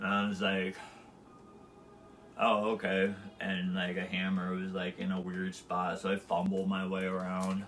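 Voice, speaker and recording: A man mumbles slowly in a very deep, low, flat monotone, with long and frequent pauses. Music plays in the background and the room echo is audible. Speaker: live streamer. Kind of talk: casual monologue. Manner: mumbling.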